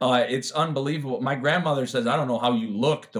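Using a plain, everyday voice, the speaker talks with an American accent at a fairly quick pace with lively intonation. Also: man. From Chicago, US Midwest. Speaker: recovering addict and triathlete. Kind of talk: interview testimony.

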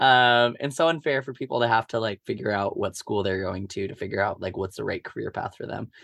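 Against a quiet background, in a dry, close sound with no echo, a man with an American accent talks at a fairly quick pace and a medium pitch with ordinary pitch variation and hardly any pauses. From US Midwest, Omaha, Nebraska. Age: 20s. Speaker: theatre director. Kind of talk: casual interview.

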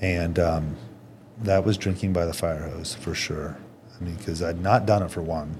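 A man with a very deep, low pitch speaks at a moderate pace. Audible room echo and noticeable background noise surround him. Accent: American. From Indiana, US Midwest. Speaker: company president. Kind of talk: casual chat.

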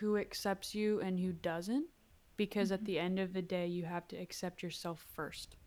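Her medium-pitched voice marks a woman speaking with fairly even intonation. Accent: Pennsylvania. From Lancaster, Pennsylvania, US. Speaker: singer-songwriter. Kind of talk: interview.

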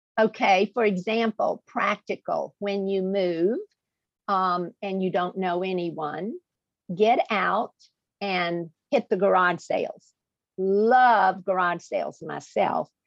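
A woman speaks very slowly in a Southern US accent. Her pitch is medium and her intonation fairly even. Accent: southern US drawl. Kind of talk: interview.

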